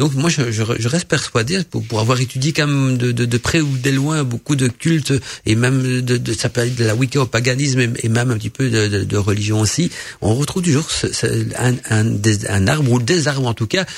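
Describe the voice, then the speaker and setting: In a Belgian accent, a man speaks at a medium pitch and moderate pace, somewhat breathy, with ordinary pitch variation and very even loudness. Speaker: radio host. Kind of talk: casual chat.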